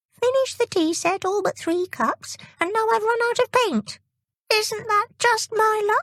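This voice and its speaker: A put-on character voice is pitched extremely high. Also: moderate pace. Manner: complaining.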